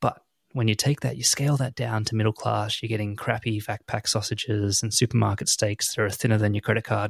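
A man with a fairly low, somewhat breathy voice speaks at a fairly quick pace and fairly even intonation, in a very clean, dry, close recording with no echo and a silent background. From Australia. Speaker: podcast co-host. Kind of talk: casual chat.

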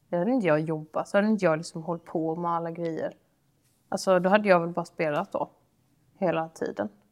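A woman talks very fast at a fairly low pitch, her pitch variation ordinary. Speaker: podcast co-host. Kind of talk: casual chat.

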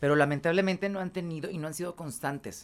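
Very fast speech over music in the background. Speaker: radio and TV presenter. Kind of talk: casual chat.

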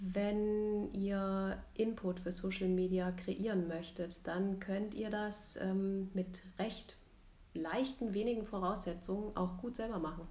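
Very slow speech amid noticeable background noise and audible room echo. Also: woman, medium pitch for a woman, fairly even intonation. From Rhein-Main region, Germany. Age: 40s. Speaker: photographer and podcast co-host. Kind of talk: casual chat. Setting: recording together in Zwickau.

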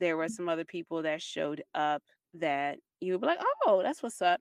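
A woman with a plain, everyday voice speaks at a fairly low pitch, her sound dry and close with no echo over a quiet background. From Baltimore, Maryland, US. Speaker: podcast co-host. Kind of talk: casual chat.

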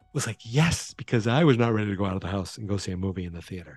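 Music plays in the background as a speaker with an American accent talks with ordinary pitch variation. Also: man. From Massachusetts. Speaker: podcast host. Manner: casual, chatty.

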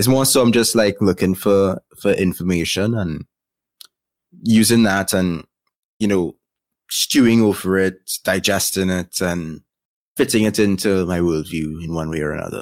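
Over a very clean recording with a silent background, a man with a Trinidadian accent speaks at a moderate pace in a very deep, low pitch, with ordinary pitch variation and long, frequent pauses. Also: dry, close sound with no echo. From Trinidad and Tobago. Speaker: YouTube content creator. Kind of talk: casual interview chat.

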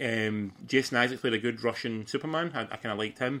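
In a Scottish accent, a man speaks at a medium pitch with ordinary pitch variation. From Scotland. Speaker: podcast host. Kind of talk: casual chat.

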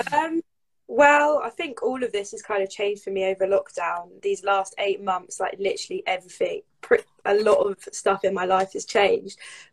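A woman with a southern English accent speaks at a moderate pace. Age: 20s. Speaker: footballer and social media creator. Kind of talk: casual chat.

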